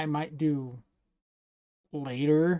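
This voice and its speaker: The voice has a dark, mellow tone with a dry, close sound and no echo. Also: man. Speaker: game developer streamer. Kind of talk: casual livestream commentary. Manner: rambling, hesitant with fillers.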